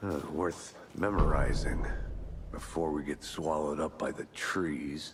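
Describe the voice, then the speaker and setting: A man puts on a character voice with a very deep, low pitch, talking at a fairly slow pace over clear background noise. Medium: video game. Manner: dry, deadpan.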